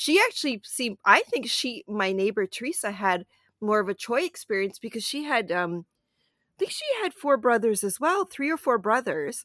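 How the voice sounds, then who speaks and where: Speaking at a moderate pace with a Canadian accent, a woman has a fairly high pitch that swings very widely. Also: dry, close sound with no echo. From Canada, Toronto. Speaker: film critic and podcast co-host. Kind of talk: casual chat.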